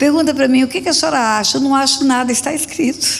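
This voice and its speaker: Audible room echo surrounds a woman's high-pitched voice as she speaks at a fairly quick pace with lively intonation. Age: 70s. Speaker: pastor. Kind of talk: sermon.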